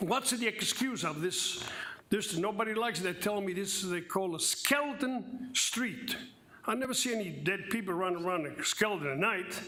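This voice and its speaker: Through audible room echo and noticeable background noise, a man uses a raised, projected voice at a high pitch. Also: ordinary pitch variation, moderate pace. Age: 70s. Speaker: public commenter at city council meeting. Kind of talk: public comment.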